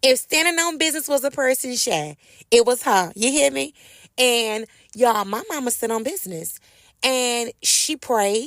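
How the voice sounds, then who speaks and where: Speaking at a moderate pace with an American accent, a woman sounds animated, her high voice carrying lively intonation on a very clean recording with a silent background. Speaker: podcast host. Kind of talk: casual storytelling monologue. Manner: animated, conversational.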